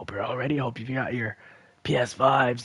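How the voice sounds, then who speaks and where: A man talks at a moderate pace in a medium pitch. Noticeable background noise can be heard. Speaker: gaming streamer. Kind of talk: live gameplay commentary. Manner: repetitive, stammering restarts.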